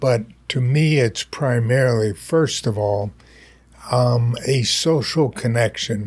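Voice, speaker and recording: On a very clean recording with a silent background, a man speaks at a fairly slow pace, somewhat breathy, at medium pitch with ordinary pitch variation. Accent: American. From eastern US and Winnipeg, Canada. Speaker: brain injury center founder. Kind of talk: interview.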